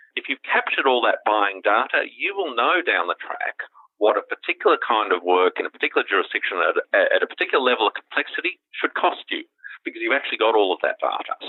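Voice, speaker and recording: A man speaks very fast. He has an Australian accent. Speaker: legal tech company founder and CEO. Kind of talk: interview.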